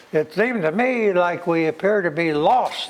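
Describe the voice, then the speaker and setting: Over noticeable background noise, a man speaks fairly slowly in a high pitch with lively intonation. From United States. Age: 90s. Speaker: war veteran. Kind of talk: interview testimony. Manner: halting.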